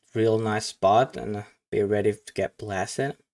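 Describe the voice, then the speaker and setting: Speaking with a non-native accent, a man uses a medium pitch with ordinary pitch variation. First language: not English. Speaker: card game commentator. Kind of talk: live game commentary reaction. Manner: halting.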